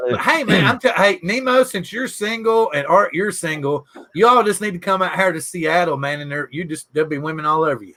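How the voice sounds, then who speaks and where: A high-pitched man in a Southern US accent, with lively intonation, big swings in loudness and hardly any pauses. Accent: Southern drawl. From US South, Southwest Virginia. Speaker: podcast host. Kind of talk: casual chat.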